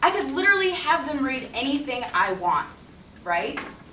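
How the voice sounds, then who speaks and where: Amid audible room echo, a woman with a high pitch uses a raised, projected voice and very wide pitch swings. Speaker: teacher. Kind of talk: presentation. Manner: fast.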